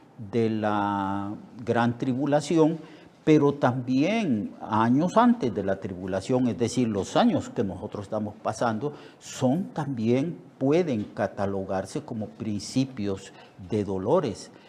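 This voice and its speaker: A man speaks at a medium pitch with a dark, mellow tone. His delivery is very slow, with lively intonation. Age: 70s. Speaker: pastor. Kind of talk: sermon. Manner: halting, many fillers and repetitions.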